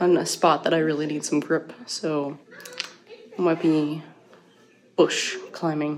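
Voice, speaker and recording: Noticeable background noise sits under a woman's fairly low-pitched voice. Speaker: family travel vlogger, army wife and mom. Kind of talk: casual vlog narration.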